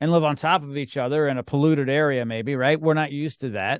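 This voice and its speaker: Against a quiet background, a man speaks in a plain, everyday voice at a fairly high pitch. His pace is fairly quick, with ordinary pitch variation. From Canada. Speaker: podcast host. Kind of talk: casual interview.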